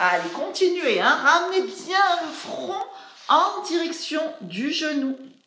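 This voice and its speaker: Speaking at a very slow pace, a woman is heard with audible room echo. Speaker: fitness instructor. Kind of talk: exercise class instruction. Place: home room. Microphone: camera far.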